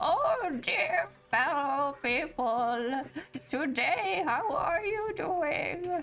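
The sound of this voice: Very slowly, a woman puts on a character voice pitched high.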